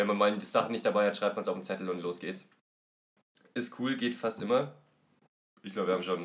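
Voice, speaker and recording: A very fast pace broken by long, frequent pauses, with ordinary pitch variation. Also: man, fairly low pitch for a man. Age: 20s. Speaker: board game podcast guest. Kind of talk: casual chat.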